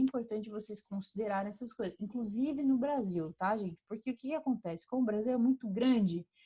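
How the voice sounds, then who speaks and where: A woman's somewhat breathy voice with a dark, mellow tone, medium pitch and ordinary pitch variation. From Brazil, Curitiba. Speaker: professor. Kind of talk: lecture. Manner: animated.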